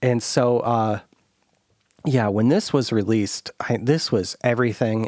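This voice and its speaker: This man talks at a fairly slow pace with a Midwestern American accent. The sound is dry and close, with no echo. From US Midwest. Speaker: podcast host. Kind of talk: casual chat.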